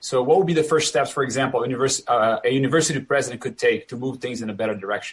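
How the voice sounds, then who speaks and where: Speaking very fast with hardly any pauses, a man with a Brazilian accent sounds somewhat breathy. His pitch is medium, with ordinary variation. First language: Portuguese. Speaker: professor and moderator. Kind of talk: panel discussion.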